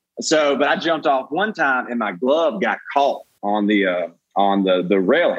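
With a Southern US accent, the speaker moves at a moderate pace through very wide pitch swings. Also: man, fairly high pitch for a man. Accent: Southern US, noticeable. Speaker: comedian. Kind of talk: casual chat, storytelling. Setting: video call.

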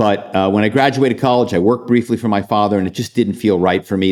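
A man speaks with an American accent at a fairly low pitch. His pitch variation is ordinary. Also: very clean recording, silent background. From Philadelphia. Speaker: author and former corporate spy. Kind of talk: interview.

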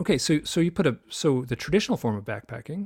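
Breathing somewhat breathily, a man with an American accent races along at a very fast pace, his pitch swinging very widely. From US Midwest (Michigan). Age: 60s. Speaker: author and UFO researcher. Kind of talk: interview conversation. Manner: halting, many false starts.

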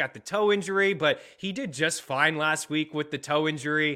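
In a plain, everyday voice, a man talks at a fairly quick clip. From Nova Scotia, Canada. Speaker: sports betting podcast host. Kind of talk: casual sports chat.

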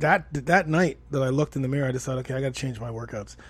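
Somewhat breathy and medium in pitch, a man talks with a Canadian accent. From Toronto, Canada. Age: 40s. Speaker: fitness coach and podcast host. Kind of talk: podcast monologue. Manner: animated.

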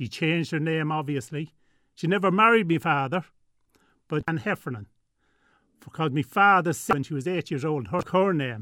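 A man with an Irish Midlands accent, fairly high in pitch, with long, frequent pauses. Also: lively intonation, moderate pace. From Ireland, Tullamore, County Offaly. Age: 60s. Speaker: guest sharing family story. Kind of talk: radio interview. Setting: studio.

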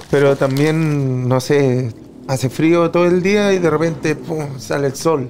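A fairly high-pitched male voice in a Chilean accent, at a fairly slow pace with ordinary pitch variation. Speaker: freestyle rapper. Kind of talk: casual chat.

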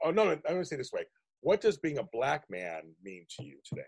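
A man with an American accent speaks with vocal fry and very wide pitch swings. The sound is dry and close, with no echo. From Pittsburgh, US. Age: 50s. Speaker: podcast host. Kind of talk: casual interview chat.

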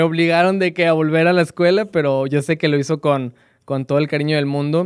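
A man talks at a medium tempo with fairly level intonation, captured in a very clean recording over a silent background. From northern Mexico, Coahuila / Monterrey area. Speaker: former university student. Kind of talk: interview. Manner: halting.

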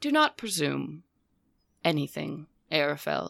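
Over a silent background in a very clean recording, a female-sounding voice puts on a booming character voice at a fairly slow pace. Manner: cold, contemptuous, commanding.

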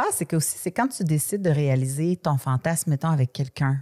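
In a very clean recording with a silent background and a dry, close sound with no echo, a woman speaks at a fairly quick pace with a dark, mellow tone, a somewhat breathy quality, and ordinary pitch variation. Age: 40s. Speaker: podcast host. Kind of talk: casual chat.

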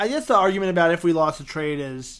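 A man with an American accent speaks in a normal speaking voice. His pace is fairly quick, with ordinary pitch variation. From New York City. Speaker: podcast host. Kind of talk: casual interview. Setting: Skype call.

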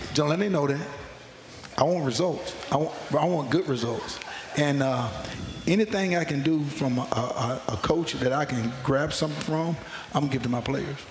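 With an American accent, a man speaks at a fairly high pitch and a moderate pace, with ordinary pitch variation, long and frequent pauses, and noticeable background noise. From North Carolina. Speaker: college football assistant coach. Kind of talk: radio interview.

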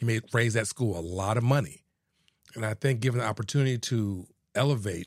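A man with an American accent has an ordinary speaking voice at medium pitch, with lively intonation and a fairly quick pace. The recording is very clean, with a silent background. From Houston, Texas. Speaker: attorney and local politician. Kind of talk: casual interview.

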